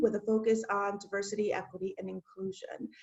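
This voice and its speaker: A woman is talking. She keeps a moderate pace. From Chicago southwest side, Mexican-American family. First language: Spanish. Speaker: diversity and inclusion administrator. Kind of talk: casual chat.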